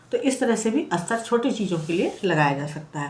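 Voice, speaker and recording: With audible room echo around her, a woman talks at a fairly slow pace, her pitch swinging very widely. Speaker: craft tutorial creator. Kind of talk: tutorial. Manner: conversational, explanatory.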